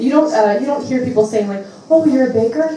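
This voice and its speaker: Someone with an American accent speaks at a moderate pace with ordinary pitch variation, amid noticeable background noise and audible room echo. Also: woman. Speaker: comedian. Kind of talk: stand-up.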